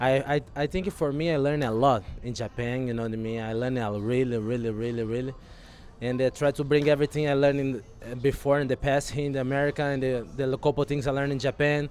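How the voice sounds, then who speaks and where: Talking at a very fast pace, a man with a Brazilian accent keeps a medium pitch and fairly even intonation. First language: Portuguese. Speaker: baseball relief pitcher. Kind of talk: casual interview.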